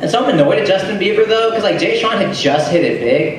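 A man is speaking. There is strong room echo and noticeable background noise. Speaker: stand-up comedian. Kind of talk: stand-up comedy routine. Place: bar. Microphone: pa.

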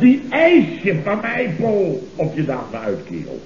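A man's put-on character voice, fairly high in pitch with very wide pitch swings, vocal fry and a slightly mellow tone, at a fairly slow pace with audible room echo

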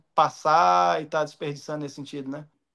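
Over a very clean, silent background, a man with a normal speaking voice talks at a fairly quick pace with ordinary pitch variation. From Minas Gerais, Brazil. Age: 20s. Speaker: professional footballer. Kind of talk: interview answer.

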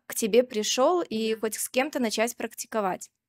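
The voice has ordinary pitch variation. The background is quiet. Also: woman. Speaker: doctor, coach and psychologist in training; coach. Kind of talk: audience question at a live talk. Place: hall. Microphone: handheld.

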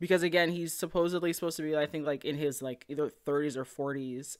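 The voice has ordinary pitch variation over a quiet background. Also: woman. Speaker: anime reviewer. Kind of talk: casual commentary. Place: home room. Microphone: studio mic.

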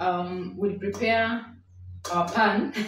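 Amid audible room echo, a woman talks while music plays in the background. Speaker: home cook vlogger. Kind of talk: cooking tutorial. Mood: warm, friendly. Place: kitchen. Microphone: camera far.

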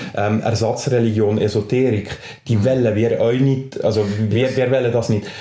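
Moderate-paced speech from a medium-pitched man in a Swiss accent, monotone and flat in intonation, very even in loudness, over noticeable background noise. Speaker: teacher and freethinker association vice-president. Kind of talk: podcast interview answer.

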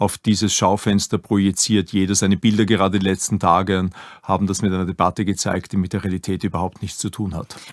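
Very fast and monotone, a man speaks in a very deep, low voice, his sound dry and close with no echo on a very clean recording with a silent background. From Upper Austria, Linz. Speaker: museum director. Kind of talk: interview.

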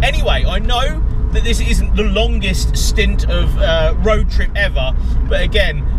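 Loud background noise surrounds a man as he talks. There is no echo, and the sound is dry. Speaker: car vlogger. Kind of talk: casual vlog chat. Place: car. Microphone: camera far.

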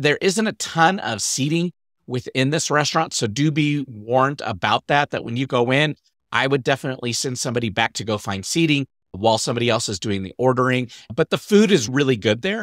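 A man's lively, fairly quick speech, with a dry sound, no echo and a quiet background. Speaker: podcast host. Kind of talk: casual podcast talk, travel tips. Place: home room. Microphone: studio mic.

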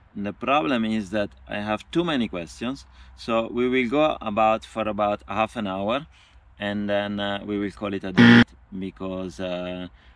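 A man's fairly low voice with ordinary pitch variation, dry with no echo, over noticeable background noise. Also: moderate pace. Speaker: cycling traveller vlogger. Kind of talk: casual vlog Q&A chat. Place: forest. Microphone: phone near.

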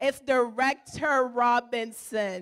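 Against a quiet background, a woman with a high pitch speaks at a very slow pace, her pitch varying in an ordinary way. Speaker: church trip organizer. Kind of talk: church announcement presentation. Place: church. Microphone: handheld.

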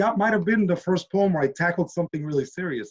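Against a quiet background, a man speaks with lively intonation in a somewhat breathy voice. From Washington D.C. area, born in Nicaragua. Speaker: hip-hop and spoken word poet, teacher. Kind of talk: interview answer. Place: home room. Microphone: video call.

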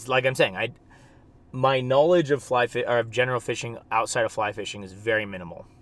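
A man with an American accent talks with ordinary pitch variation. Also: dry sound with no echo. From California (Bakersfield). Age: 20s. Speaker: fly fishing guide and video creator. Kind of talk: casual vlog talk to camera. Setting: outdoors at ponds. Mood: frank, mildly annoyed. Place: car. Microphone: phone near.

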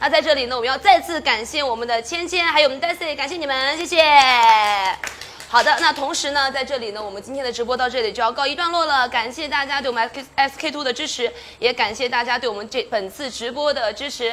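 Using a raised, projected voice, a woman talks at a fairly quick pace with hardly any pauses, a high pitch and ordinary pitch variation. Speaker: event host. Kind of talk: live-stream hosting. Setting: outdoor tent on the Great Wall. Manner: lively, teasing. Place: stage. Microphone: handheld.

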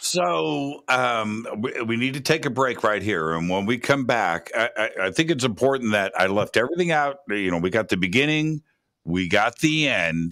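Against a quiet background, a man with a bright, sharp, animated tone speaks at a moderate pace with very wide pitch swings and hardly any pauses. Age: 50s. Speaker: radio host. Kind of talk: talk radio interview. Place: studio. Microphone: studio mic.

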